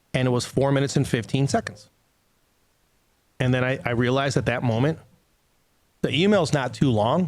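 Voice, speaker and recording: Animated in tone, a man speaks at a medium pitch and a fairly quick pace, with ordinary pitch variation, very even loudness and long, frequent pauses. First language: not English. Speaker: company executive and podcast co-host. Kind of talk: casual podcast chat. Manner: animated, conversational.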